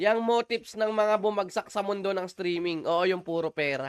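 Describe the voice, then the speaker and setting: A man talks at a fairly quick pace in a high pitch. The sound is dry and close, with no echo. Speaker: gaming livestreamer. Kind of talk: live gameplay stream chat.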